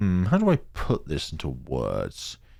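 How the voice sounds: On a very clean recording with a silent background, a man speaks at a fairly slow pace in an extremely low pitch, his dark, mellow tone showing vocal fry and very wide pitch swings.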